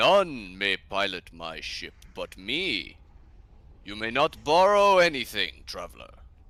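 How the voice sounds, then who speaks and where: In a put-on character voice, a man speaks at a fairly slow pace. His pitch swings very widely. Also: medium pitch for a man. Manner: stern, commanding, refusing.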